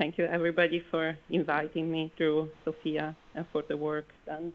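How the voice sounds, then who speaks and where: A woman speaks with an Italian accent. Her pitch is fairly low. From Italy. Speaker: architect, conference speaker. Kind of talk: conference presentation.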